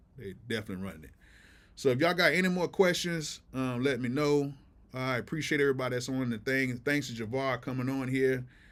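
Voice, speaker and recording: His delivery comes at a very fast pace. This man's pitch sits at a medium level and varies in an ordinary way. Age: 40s. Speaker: music producer, live streamer; live streamer. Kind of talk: live stream Q&A. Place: home room. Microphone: webcam.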